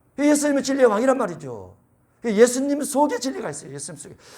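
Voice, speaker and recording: The speaker talks at a very fast pace with lively intonation. Room echo is audible. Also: man. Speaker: pastor. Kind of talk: sermon.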